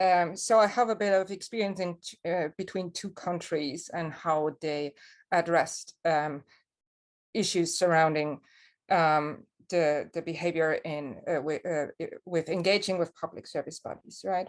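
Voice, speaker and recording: A woman with a German accent at a fairly slow pace, fairly even intonation, and a quiet background. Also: fairly low pitch for a woman. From Germany. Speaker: lone parent speaker, trained teacher. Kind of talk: personal testimony talk. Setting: online webinar.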